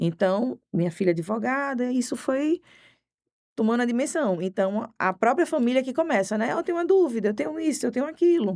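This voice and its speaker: Very wide pitch swings in a woman's high voice, moving at a fairly quick pace. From Pernambuco, Brazil (Recife area). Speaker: criminal defense lawyer. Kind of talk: podcast interview.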